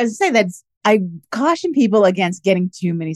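A woman with an ordinary speaking voice talks at a fairly quick pace with lively intonation. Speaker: podcast host; lawyer. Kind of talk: scripted intro then casual interview.

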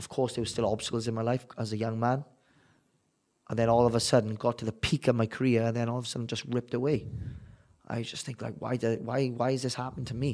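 A man with a South Wales accent talks at a very fast pace. His medium-pitched voice stays monotone and flat. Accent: South Wales valleys. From Wales, the valleys. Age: 30s. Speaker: bare-knuckle boxer. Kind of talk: interview.

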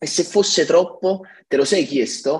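Speaking very slowly, a man shows ordinary pitch variation. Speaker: tech company CTO. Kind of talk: podcast interview. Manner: halting, many fillers and repetitions.

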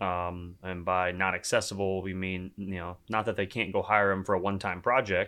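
A man with a Texan accent speaks at a fairly low pitch in a bright, sharp tone, captured in a very clean recording with a silent background. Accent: Southern US, Texan twang. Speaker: startup co-founder. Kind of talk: casual interview. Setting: in person in New York.

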